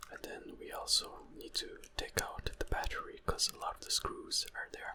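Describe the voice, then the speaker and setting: A man's whispering over noticeable background noise. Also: moderate pace, big swings in loudness. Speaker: ASMR creator. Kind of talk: ASMR whispered assembly tutorial. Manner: whispered.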